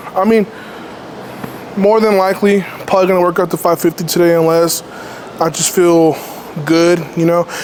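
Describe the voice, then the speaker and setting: A man with a high pitch speaks in a monotone, flat way with very even loudness and long, frequent pauses. Noticeable background noise runs underneath. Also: moderate pace. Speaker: powerlifter vlogger. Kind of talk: casual vlog monologue.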